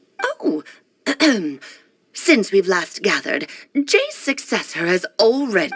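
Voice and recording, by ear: A female-sounding put-on character voice, fairly high in pitch, swings very widely in pitch and moves at a fairly slow pace with long, frequent pauses.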